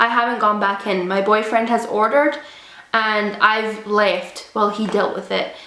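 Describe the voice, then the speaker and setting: Against noticeable background noise, the speaker uses monotone, flat intonation at a moderate pace. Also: woman. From Scotland. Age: 20s. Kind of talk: casual storytime talk to camera.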